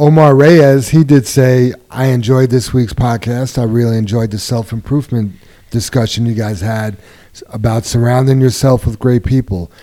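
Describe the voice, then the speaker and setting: A man talks at a moderate pace with medium pitch. It's a plain, everyday voice with fairly even intonation. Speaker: podcast host. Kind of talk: casual chat.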